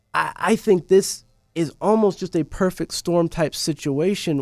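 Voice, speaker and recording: Music plays in the background as a man with an American accent speaks at a high pitch with fairly even intonation, in a dry, close sound with no echo. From US South, Tennessee (Antioch, near Nashville). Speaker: church staff member. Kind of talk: casual conversation. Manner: hesitant, many fillers.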